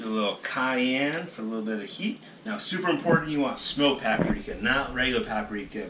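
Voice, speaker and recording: A man with an American accent speaks with lively intonation and hardly any pauses over noticeable background noise. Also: medium pitch for a man, fairly quick pace. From South Carolina. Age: 30s. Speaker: bartender. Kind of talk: casual talk to camera.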